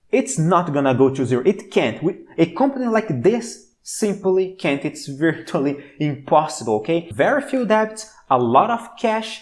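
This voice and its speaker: The speaker sounds enthusiastic, with a Brazilian accent and hardly any pauses. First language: Portuguese. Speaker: stock market commentator. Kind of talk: stock analysis video.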